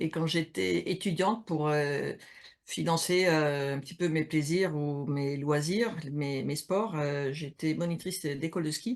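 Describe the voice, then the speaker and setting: A woman speaks at a very slow pace with a very deep, low pitch and ordinary pitch variation over a quiet background. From Switzerland, mountains. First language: not French (speaking French). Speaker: HR consultant and coach, game co-author. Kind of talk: interview on Instagram live. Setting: Instagram live video call. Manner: hesitant, many fillers.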